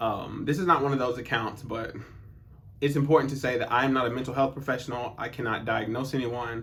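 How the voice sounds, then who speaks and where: There is audible room echo as a man with an American accent talks fairly quickly at a medium pitch with fairly even intonation. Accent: occasional Southern. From US South. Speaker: personal development youtuber. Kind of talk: personal monologue. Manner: casual, conversational.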